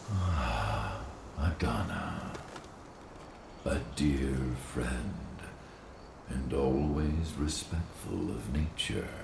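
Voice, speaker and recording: Using a cartoonish character voice, a man speaks at a very slow pace with long, frequent pauses. Loud background noise and a slight echo surround him. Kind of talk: solemn mystical speech. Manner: grave, measured.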